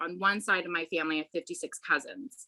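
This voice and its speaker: Her bright, sharp tone sits at a fairly low pitch as a woman with an American accent speaks with ordinary pitch variation. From Utah, US (Salt Lake City). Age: 30s. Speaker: interview guest, person with type 1 diabetes. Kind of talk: podcast interview.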